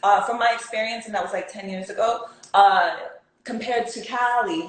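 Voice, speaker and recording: A woman with a fairly high voice talks at a fairly quick pace, with audible room echo and noticeable background noise. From California. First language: Spanish. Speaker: actress. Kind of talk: interview.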